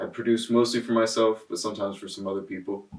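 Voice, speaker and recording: A man with an American accent speaks in a fairly low, monotone voice with flat intonation. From Connecticut, US (Darien). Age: 20s. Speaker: rapper and producer. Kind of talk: casual interview. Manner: casual, halting with fillers.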